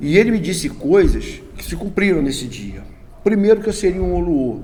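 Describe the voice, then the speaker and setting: The speech runs at a fairly quick pace, with audible room echo and noticeable background noise. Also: man. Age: 60s. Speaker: Candomblé religious elder. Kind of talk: interview. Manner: halting.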